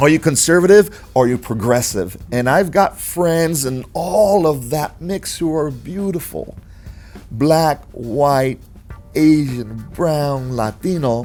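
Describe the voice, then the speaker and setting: This man speaks with an American accent at a fairly high pitch and a very slow pace. There is music in the background. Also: lively intonation. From North Carolina, Panamanian family. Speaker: podcast host. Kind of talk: casual interview chat.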